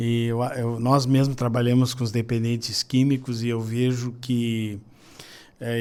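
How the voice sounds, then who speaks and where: Here a man speaks in a dark, mellow tone. His pace is fairly slow. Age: 60s. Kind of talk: podcast interview.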